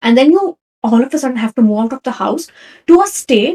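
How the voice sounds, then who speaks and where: With a Kannada accent, a woman speaks in a high pitch with a dark, mellow tone and very wide pitch swings, the sound dry and close with no echo. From India, Karnataka. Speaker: podcast host. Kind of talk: personal storytelling. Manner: casual, conversational.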